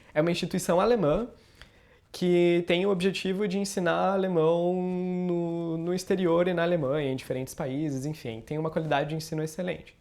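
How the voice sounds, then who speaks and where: Fairly even intonation in a man's high voice. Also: moderate pace. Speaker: YouTuber. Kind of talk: personal storytelling vlog. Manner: casual, conversational.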